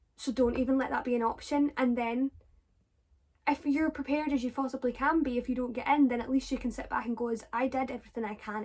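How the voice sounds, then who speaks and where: With a Scottish accent, a woman talks at a very fast pace and a high pitch. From Scotland. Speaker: drama student vlogger. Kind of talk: casual Q&A vlog. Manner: animated.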